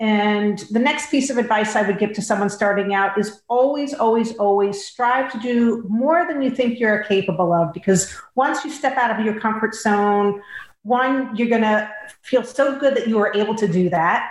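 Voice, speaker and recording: Room echo is audible here. The delivery has a moderate speed and ordinary pitch movement. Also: woman, fairly high pitch for a woman. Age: 50s. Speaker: dietitian and health coach. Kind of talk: interview.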